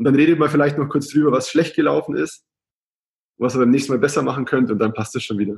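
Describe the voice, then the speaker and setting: At a very fast pace, a man with a fairly high pitch speaks in a somewhat breathy voice with ordinary pitch variation. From Germany, Augsburg (Bavarian Swabia). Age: 20s. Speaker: travel blogger. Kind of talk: casual interview.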